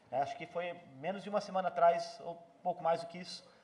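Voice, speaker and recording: Amid noticeable background noise, a man with a high pitch talks at a fairly quick pace with fairly even intonation. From Brazil. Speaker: visiting pastor. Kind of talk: church greeting and prayer. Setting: church. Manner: hesitant, many fillers.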